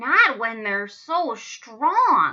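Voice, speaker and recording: The voice is a put-on character one from a woman. It sits fairly high in pitch. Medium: read story.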